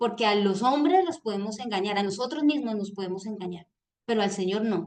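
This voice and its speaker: A woman's fairly high voice at a fairly quick pace. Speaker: reading group leader. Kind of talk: book club talk on video call. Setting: video call. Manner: loud.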